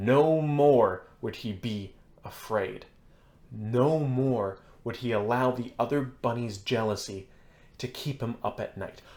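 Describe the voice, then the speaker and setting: A booming, put-on character voice speaks at a fairly slow pace. Its pitch varies in an ordinary way. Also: man, medium pitch for a man. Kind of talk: sermon preaching. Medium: read story. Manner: inviting yet demanding.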